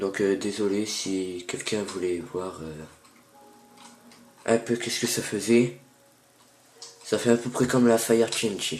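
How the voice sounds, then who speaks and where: A man's fairly low voice at a fairly slow pace, ordinary pitch variation, long and frequent pauses, and noticeable background noise. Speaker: gaming youtuber. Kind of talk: gameplay tutorial. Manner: hesitant, many fillers.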